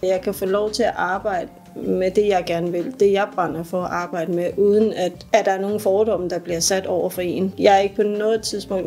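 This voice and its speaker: Noticeable background noise sits behind a woman's voice. She talks at a fairly quick pace with monotone, flat intonation. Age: 40s. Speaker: apprentice welder. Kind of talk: workplace interview testimony. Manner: casual, hesitant with repetitions.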